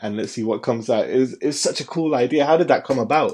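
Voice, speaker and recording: The speaker has a British accent. The intonation is lively. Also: man. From UK. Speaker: podcast host. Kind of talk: casual chat.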